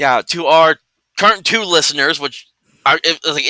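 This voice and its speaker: Loud and bright with a sharp tone, a man speaks at a moderate pace with ordinary pitch variation, the sound dry and close with no echo on a very clean recording with a silent background. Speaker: tabletop RPG streamer. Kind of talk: casual chat.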